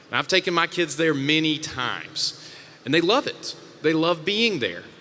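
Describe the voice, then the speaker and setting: A man with a Mississippi accent and a fairly high pitch, at a moderate pace, amid noticeable background noise. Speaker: panel moderator. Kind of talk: panel discussion. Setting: stage with audience.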